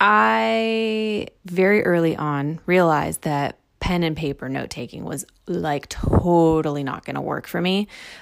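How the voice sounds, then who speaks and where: Her pitch is very deep and low for a woman, and she speaks at a fairly slow pace. The woman's intonation is lively and her tone animated. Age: 30s. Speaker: grad student podcaster. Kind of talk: casual solo monologue.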